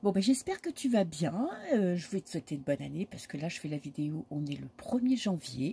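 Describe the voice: A woman uses a put-on character voice, hoarse and fairly low in pitch. She moves at a fairly quick pace with very wide pitch swings.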